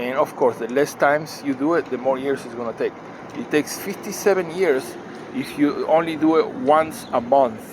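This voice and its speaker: Against noticeable background noise, a man speaks at a fairly high pitch with ordinary pitch variation. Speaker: finance video maker. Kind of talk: tutorial. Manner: slow; halting.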